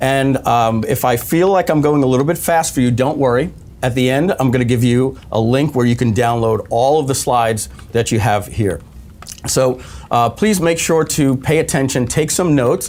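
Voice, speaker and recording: Over noticeable background noise, a man talks at a medium pitch with ordinary pitch variation and very even loudness. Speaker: webinar presenter. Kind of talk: live webinar training. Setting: studio, live stream. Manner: fast.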